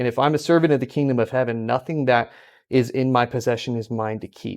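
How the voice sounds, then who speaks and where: Fairly quick and with fairly even intonation, a man speaks at medium pitch in an American accent with an unremarkable speaking voice, on a very clean recording with a silent background. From California. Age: 20s. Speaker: esports ministry leader. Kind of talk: casual podcast conversation, testimony.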